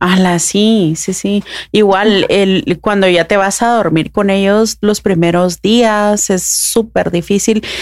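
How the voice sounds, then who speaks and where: A woman speaks at medium pitch with fairly even intonation. Her pace is very slow, and her loudness stays very even. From Guatemala. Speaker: podcast host, mother. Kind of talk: casual interview conversation.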